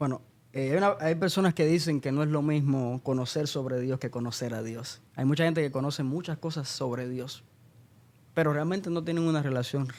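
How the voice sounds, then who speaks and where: At a moderate pace, a man speaks in a normal speaking voice pitched fairly high. His intonation stays fairly even. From Cuba (Santa Clara, central Cuba) until 13. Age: 20s. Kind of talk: podcast interview.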